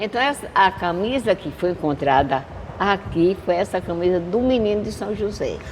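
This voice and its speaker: A woman of medium pitch talks at a moderate pace with lively intonation against noticeable background noise. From Pernambuco, Brazil (Santa Maria da Boa Vista). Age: 80s+. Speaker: elderly local resident interviewee. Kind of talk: podcast interview, reminiscing.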